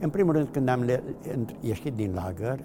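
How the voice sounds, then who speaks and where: Noticeable background noise behind a man at a medium pitch. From Transylvania, Romania (Mureș county). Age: 80s+. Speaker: Holocaust survivor. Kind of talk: testimony. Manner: halting.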